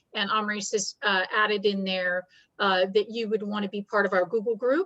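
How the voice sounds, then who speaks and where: In an ordinary speaking voice, a woman talks at a moderate pace with medium pitch and fairly even intonation, the sound dry and close with no echo. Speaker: workshop presenter. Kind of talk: webinar presentation.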